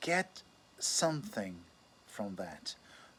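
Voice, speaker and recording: In a non-native accent, a man speaks at a fairly slow pace with a fairly high pitch and lively intonation. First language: not English. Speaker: astrologer. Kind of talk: casual monologue. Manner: halting, with self-corrections.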